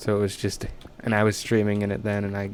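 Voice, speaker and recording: A man's fairly low voice at a very fast pace, with audible room echo and noticeable background noise. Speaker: gaming streamer. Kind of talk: casual live stream chat. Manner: loud.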